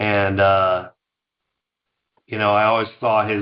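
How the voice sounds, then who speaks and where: A man with an American accent and fairly low pitch, at a moderate pace in a monotone, flat intonation. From New York, Scarsdale suburb. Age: 50s. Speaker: company founder. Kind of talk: interview.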